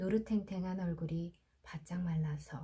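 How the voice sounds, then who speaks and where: A woman's fairly low, dark, mellow voice, somewhat breathy, fairly slow, with ordinary pitch variation. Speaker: audiobook narrator. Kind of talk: sleep story. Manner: soft-spoken, slow.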